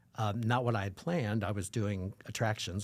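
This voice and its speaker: An ordinary speaking voice from a man, fairly low, on a very clean recording with a silent background. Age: 60s. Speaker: performer and educator. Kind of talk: casual interview.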